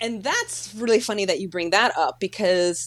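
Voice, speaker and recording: A woman talks at a moderate pace with an ordinary amount of pitch variation. She speaks with a Chicago accent. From Chicago, South Side. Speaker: actor. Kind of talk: casual chat.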